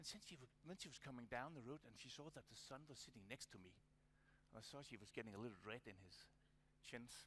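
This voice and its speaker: A man speaks very fast with a Danish accent, his pitch medium. His tone is bright and sharp, and his intonation lively. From Denmark. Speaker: conference speaker. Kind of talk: conference presentation. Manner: halting.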